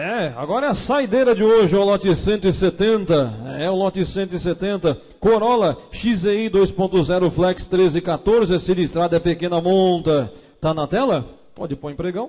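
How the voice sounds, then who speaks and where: Over a quiet background, a man speaks at a very slow pace in a high pitch. His tone is dark and mellow, with lively intonation. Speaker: auctioneer. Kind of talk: auction calling. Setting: live auction hall with audience and online bidders. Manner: chatty asides hyping the car. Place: hall.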